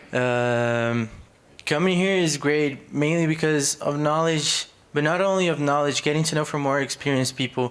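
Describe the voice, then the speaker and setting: A man with a Portuguese accent, fairly high in pitch with ordinary pitch variation, at a fairly slow pace amid noticeable background noise. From Brazil. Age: 20s. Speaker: college student. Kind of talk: audience contribution.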